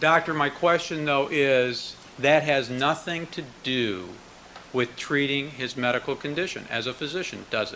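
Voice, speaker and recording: A fairly high-pitched man at a moderate pace with ordinary pitch variation, against noticeable background noise. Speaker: prosecutor. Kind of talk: courtroom cross-examination. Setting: courtroom.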